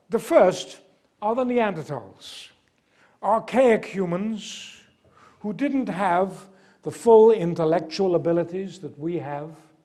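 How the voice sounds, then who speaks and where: With audible room echo, a man talks at a very slow pace in a high pitch, using lively intonation and a dark, mellow tone. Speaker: archaeology lecturer. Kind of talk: lecture.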